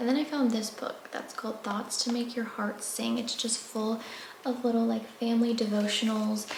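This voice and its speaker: A soft-spoken woman with a fairly high pitch at a moderate pace, with noticeable background noise and audible room echo. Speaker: lifestyle vlogger. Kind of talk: casual vlog talk to camera. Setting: at home.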